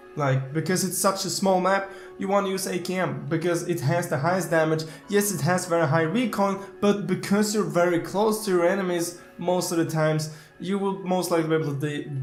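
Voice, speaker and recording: A man's high-pitched voice at a fairly quick pace, with fairly even intonation, noticeable background noise and audible room echo. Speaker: gaming YouTuber. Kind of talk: gaming tutorial. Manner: fast.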